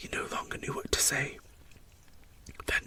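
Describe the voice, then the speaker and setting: The voice is a whisper. Behind it, background noise is noticeable. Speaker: story narrator. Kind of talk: read story. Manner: whispered.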